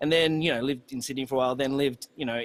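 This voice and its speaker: This is a man speaking with an Australian accent. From Australia, country New South Wales. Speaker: musician. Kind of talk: casual chat.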